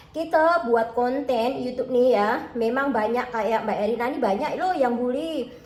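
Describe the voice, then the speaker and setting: The voice shows ordinary pitch variation, with noticeable background noise and audible room echo in the recording. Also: woman. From Java, Indonesia. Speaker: cooking vlogger. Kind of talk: casual vlog chat while cooking. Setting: kitchen. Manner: chatty.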